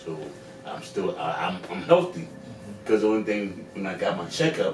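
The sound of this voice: A man speaks low for a man at a moderate pace, with big pitch swings. Room echo is audible.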